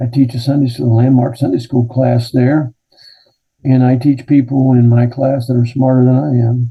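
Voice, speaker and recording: Somewhat breathy and with an American accent, the speaker keeps a moderate pace, very even loudness and fairly even intonation. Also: man, medium pitch for a man. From Kentucky. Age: 70s. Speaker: retired pastor. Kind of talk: interview.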